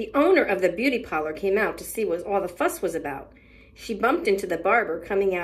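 A natural voice reading aloud, full of lively intonation.

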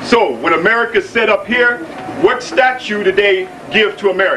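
A man is talking. Background noise is noticeable throughout. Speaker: lecture assistant. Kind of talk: lecture. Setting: stage with audience. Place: hall. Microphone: old recording.

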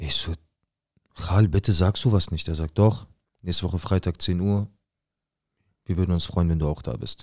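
A man with a very deep, low pitch and ordinary pitch variation speaks at a moderate pace, somewhat breathy. Long, frequent pauses fill his speech against a quiet background. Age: 20s. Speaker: viewer telling his life story; storyteller. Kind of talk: personal testimony. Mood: serious, tense, emotional. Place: studio. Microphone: studio mic.

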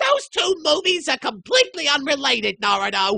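The voice is high in pitch. The pace is moderate. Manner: threatening, then frightened.

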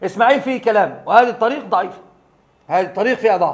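A man speaks with a high pitch. The variation in his pitch is ordinary. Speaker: Islamic studies lecturer. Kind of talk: lecture. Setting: stage with audience. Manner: formal, religious lecture style.

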